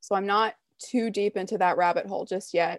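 A woman speaks in an unremarkable speaking voice at a medium pitch and a moderate pace. Her intonation is fairly even, with a quiet background behind her. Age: 20s. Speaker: hockey writer. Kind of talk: casual chat.

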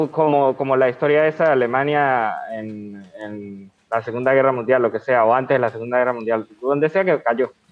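With an ordinary speaking voice, a man talks at a medium pitch and a moderate pace. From Venezuela. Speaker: podcast host. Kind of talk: casual interview.

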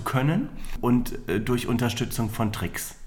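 A man at a medium pitch, with fairly even intonation and a very slow pace, in audible room echo. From northern Germany, near Hannover. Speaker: magician. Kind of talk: casual interview. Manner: hesitant, many fillers.

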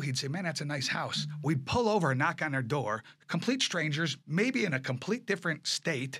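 The voice has a bright, sharp tone, a fairly quick pace and ordinary pitch variation. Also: man. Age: 50s. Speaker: furniture business owner and auctioneer. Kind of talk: casual interview. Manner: animated.

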